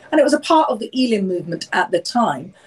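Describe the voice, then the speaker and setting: In a London accent, a woman speaks with a fairly high pitch and lively intonation. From London, England. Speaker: author and speaker. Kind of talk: interview. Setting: video call.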